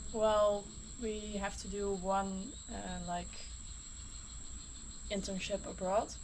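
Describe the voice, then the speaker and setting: Very slowly and with long, frequent pauses, a woman with a Dutch accent speaks amid audible room echo. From Netherlands. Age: 20s. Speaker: biology student. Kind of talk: casual interview.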